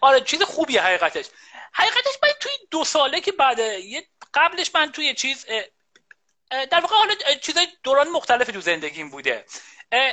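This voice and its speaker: A man with a bright, sharp tone uses a raised, projected voice. He moves at a fairly quick pace with very wide pitch swings and long, frequent pauses. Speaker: computer science professor. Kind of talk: casual interview chat. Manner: halting, many fillers. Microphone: echo and too loud microphone.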